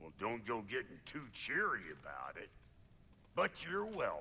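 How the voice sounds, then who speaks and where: A man performs a put-on character voice at medium pitch. He speaks at a moderate pace over clear background noise. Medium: video game. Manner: gruff, grudging.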